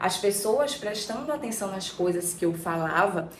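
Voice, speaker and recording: A woman keeps a moderate pace while audible room echo and noticeable background noise fill the recording. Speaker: archetype therapist, YouTuber. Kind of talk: personal storytelling vlog. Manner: casual, conversational.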